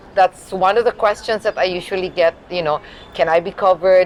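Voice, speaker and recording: Over noticeable background noise, a woman talks at a fairly quick pace in a fairly low pitch with ordinary pitch variation. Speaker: health insurance representative. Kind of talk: interview.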